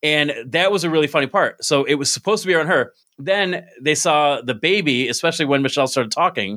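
Speaking at a very fast pace, a man with an American accent has a fairly high pitch and ordinary pitch variation. His tone is bright and sharp, and his loudness stays very even. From upstate New York (Binghamton). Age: 30s. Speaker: podcast host and stand-up comedian. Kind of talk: casual chat. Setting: video call.

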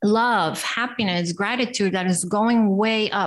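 On a very clean recording with a silent background, a woman with an American accent and a fairly high pitch uses ordinary pitch variation in an ordinary speaking voice. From Costa Rica, raised also in US and Italy. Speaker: life coach and entrepreneur. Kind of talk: interview.

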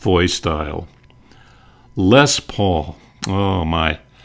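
A man talks with an American accent. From North Dakota, US (Bismarck). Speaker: retired broadcaster, podcaster. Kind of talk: reminiscing monologue.

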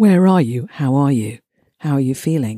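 A woman with a very deep, low pitch and a dark, mellow tone at a fairly quick pace, on a very clean recording with a silent background. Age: 60s. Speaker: podcast host. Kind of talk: reflective monologue. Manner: conversational, with hesitations.

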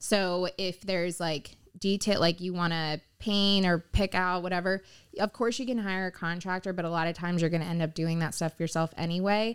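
A woman with an American accent talks at a moderate pace in a fairly low voice with fairly even intonation, an unremarkable speaking voice. The recording is very clean, with a silent background. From South Florida, Pompano Beach. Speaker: real estate agent. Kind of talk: interview.

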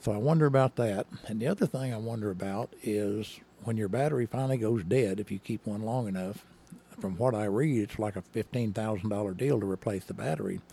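In an Arkansas accent, a man talks at a fairly quick pace with a fairly low pitch and ordinary pitch variation. His tone is dark and mellow, and the sound is dry and close with no echo. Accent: US Southern (Arkansas). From northern Arkansas (Henderson, near Mountain Home). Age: 70s. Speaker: retired state trooper. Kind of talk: casual interview.

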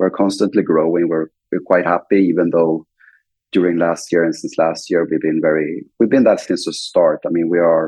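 A man with a Swedish accent, speaking at a moderate pace. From Sweden. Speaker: fintech CEO and co-founder. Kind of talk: interview.

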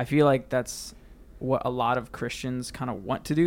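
This is an unremarkable speaking voice. It moves at a moderate pace. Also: man. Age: 20s. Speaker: church technical director. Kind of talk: casual chat.

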